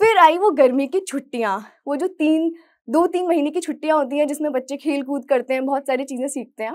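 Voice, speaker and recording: At a moderate pace, a woman talks with a high pitch and ordinary pitch variation against a quiet background. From Madhya Pradesh, Morena; Madhya Pradesh. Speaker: chartered accountant; motivational speaker. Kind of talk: motivational talk. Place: studio.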